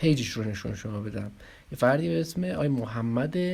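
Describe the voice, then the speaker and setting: A man's somewhat breathy voice moves along at a fairly quick pace, its intonation lively. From Iran, Arak. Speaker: online video commentator. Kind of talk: casual video commentary. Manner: halting.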